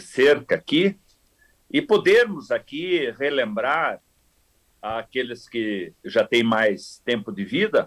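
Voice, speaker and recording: Here a man talks with very wide pitch swings. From southern Brazil, Rio Grande do Sul (Cruz Alta). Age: 70s. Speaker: agronomy professor. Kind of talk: podcast interview.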